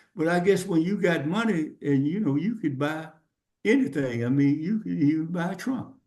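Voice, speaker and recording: In a room with audible echo, a man with a dark, mellow tone and fairly high pitch speaks at a moderate pace with lively intonation. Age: 70s. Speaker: podcast guest. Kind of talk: casual chat. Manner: halting.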